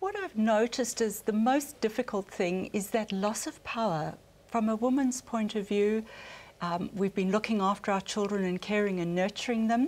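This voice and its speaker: A woman with a slight South African accent, moderate pace and ordinary pitch variation. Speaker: family relationship counsellor. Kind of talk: panel discussion.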